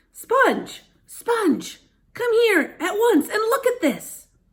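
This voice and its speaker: A woman's put-on character voice, squeaky and extremely high-pitched, at a very slow pace. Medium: read story. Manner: harsh, bossy.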